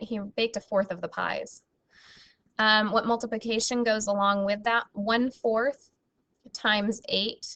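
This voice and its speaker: Using a plain, everyday voice, a woman talks at a moderate pace. Her pitch is fairly high and her intonation fairly even. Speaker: math teacher. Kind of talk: recorded lesson.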